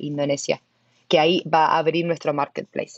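This woman has an Argentine accent. She talks at a moderate pace. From Argentina. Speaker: tech product manager at a web3 startup. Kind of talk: interview.

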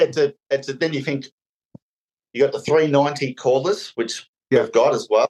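Spoken in an Australian accent at a moderate pace, the voice has ordinary pitch variation and a dry, close sound with no echo. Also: man. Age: 40s. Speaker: painter and decorator. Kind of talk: casual chat. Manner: halting.

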